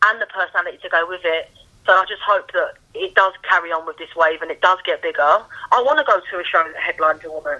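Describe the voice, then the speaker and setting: Speaking at a very fast pace in a Cockney accent, a woman's voice shows big swings in loudness. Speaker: boxing journalist. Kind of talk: casual chat.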